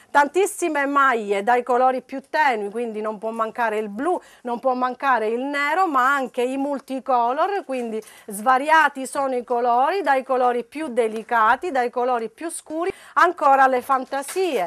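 Sounding animated and upbeat, a woman with a high pitch speaks at a moderate pace with ordinary pitch variation. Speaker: shop promoter. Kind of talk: sales pitch; street-seller style TV promo, reeling off prices and repeating discounts. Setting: shop showroom, on-camera TV promo. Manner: animated, insistent, upbeat salesman delivery. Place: shop.

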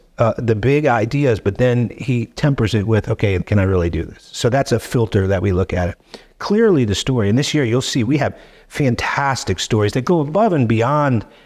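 The speaker keeps a moderate pace with lively intonation against a quiet background. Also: man. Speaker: podcast guest. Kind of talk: interview answer. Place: studio. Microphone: studio mic.

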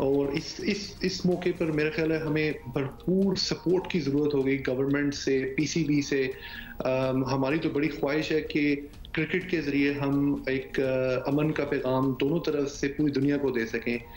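Over clear background noise, a man at medium pitch speaks at a fairly slow pace with few pauses and little pitch movement.

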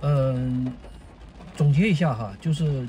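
Noticeable background noise under ordinary pitch variation. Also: man. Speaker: vlogger. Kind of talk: casual monologue video diary. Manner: halting, with many fillers.

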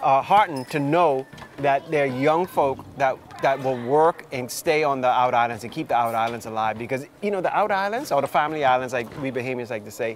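Fairly quick speech with ordinary pitch variation, dry with no echo, over light background noise. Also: man. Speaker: show host interviewer. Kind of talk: interview questions, casual chat. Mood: relaxed, upbeat. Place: cafe.

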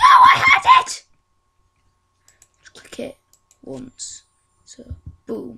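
Shouting at a very slow pace, the speaker leaves long, frequent pauses. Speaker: gaming youtuber. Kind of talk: gameplay commentary. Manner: animated, exclamatory.

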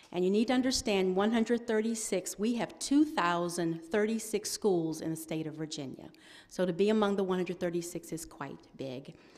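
A woman talks with lively intonation and at a fairly slow pace. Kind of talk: ceremony announcement. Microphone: podium.

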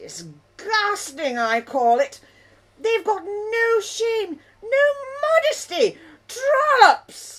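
A female-sounding cartoonish character voice, extremely high in pitch, goes at a very slow pace. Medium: puppet. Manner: indignant, scandalised.

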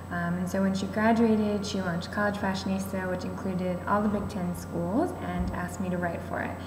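Against noticeable background noise, a woman with an American accent talks at a moderate pace. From US Midwest, Indianapolis; Indiana. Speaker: former fashion blogger. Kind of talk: casual testimony. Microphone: webcam.

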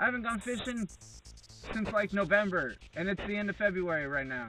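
Faint music plays in the background as a man talks at a moderate pace with a dry sound and no echo. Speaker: fishing vlogger. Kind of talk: casual vlog chat. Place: car. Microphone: phone near.

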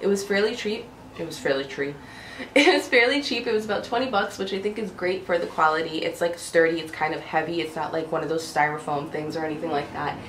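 A woman speaks at a very fast pace with lively intonation and a fairly low pitch. Audible room echo and light background noise surround her. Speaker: home decor vlogger. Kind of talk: casual talk to camera, haul video. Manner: quiet, low-pitched. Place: home room. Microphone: camera far.

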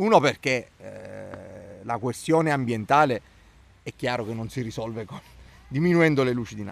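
In a dry recording with no echo, a man talks at a moderate pace with ordinary pitch variation, big swings in loudness and long, frequent pauses. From Italy. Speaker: local opposition councillor. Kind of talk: interview; interview answer. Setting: outdoors in a town park. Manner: hesitant, with fillers and repetitions. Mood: calm, reasoned political critique. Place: garden. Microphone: handheld.

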